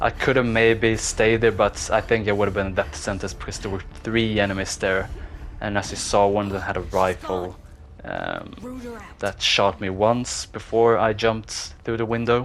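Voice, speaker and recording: Noticeable background noise sits behind a man of fairly low pitch who talks at a moderate pace with fairly even intonation. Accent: non-native. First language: not English. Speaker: gaming YouTuber. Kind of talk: voiceover commentary on gameplay. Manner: casual, hesitant with fillers.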